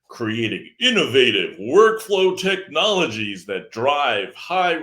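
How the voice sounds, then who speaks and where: Putting on a character voice, a man speaks in a high pitch at a fairly slow pace. His pitch swings very widely. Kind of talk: corporate narration. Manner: polished, announcer-like.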